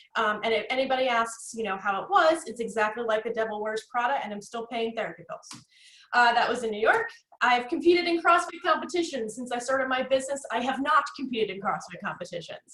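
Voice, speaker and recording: A woman with a New Jersey accent, high-pitched, bright and sharp in tone, very fast, with lively intonation and big swings in loudness. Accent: New Jersey American. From North Jersey, US. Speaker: networking consultant, guest speaker. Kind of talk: workshop presentation. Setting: video call. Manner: animated.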